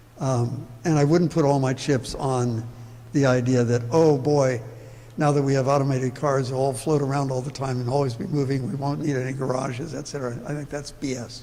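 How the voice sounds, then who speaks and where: Amid noticeable background noise and audible room echo, a man speaks fairly quickly at medium pitch with monotone, flat intonation. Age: 80s+. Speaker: urban planning speaker. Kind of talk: public talk Q&A.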